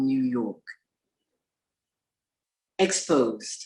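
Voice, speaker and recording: The voice moves at a very slow pace with very wide pitch swings and vocal fry. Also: woman. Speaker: poet and professor of English. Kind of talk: poetry reading.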